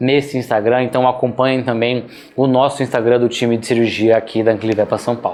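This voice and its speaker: A man with a medium pitch talks while noticeable background noise fills the recording. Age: 30s. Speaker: veterinary surgery instructor. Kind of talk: online lecture. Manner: casual, conversational.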